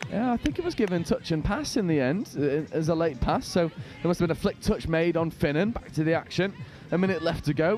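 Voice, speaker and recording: Over music in the background, a high-pitched man talks at a fairly quick pace with ordinary pitch variation and very even loudness. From northern England. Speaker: sports commentator. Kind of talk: live commentary. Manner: animated.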